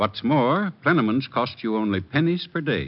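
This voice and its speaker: With vocal fry in his voice, a man speaks at a fairly quick pace. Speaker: radio commercial announcer. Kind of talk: scripted radio advertisement.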